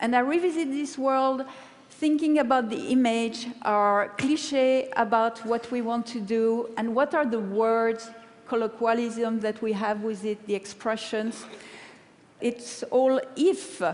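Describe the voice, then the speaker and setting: A woman with a French accent, fairly high pitch and ordinary pitch variation at a fairly slow pace. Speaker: paper-cut artist. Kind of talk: TED talk.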